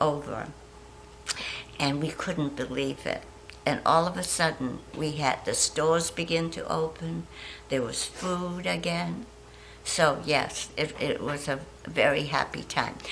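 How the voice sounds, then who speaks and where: Fairly slow speech from a woman amid noticeable background noise and audible room echo. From Shanghai, China. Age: 80s+. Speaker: war survivor. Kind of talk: testimony.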